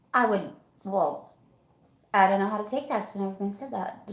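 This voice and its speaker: A voice with a slight Southern US accent and audible room echo. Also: woman. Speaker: livestream guest, friend of host. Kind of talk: casual chat.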